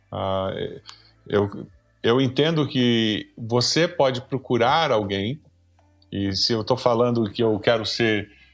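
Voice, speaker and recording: Over music in the background, a man speaks at a medium pitch and a fairly slow pace with ordinary pitch variation. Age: 60s. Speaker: pastor and professor. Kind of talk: podcast conversation.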